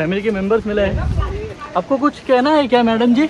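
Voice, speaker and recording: There is noticeable background noise behind this man's voice. He speaks at a high pitch with ordinary pitch variation. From Maharashtra (Khopoli). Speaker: travel vlogger. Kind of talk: vlog narration while trekking. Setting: outdoors on a monsoon trek. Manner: animated.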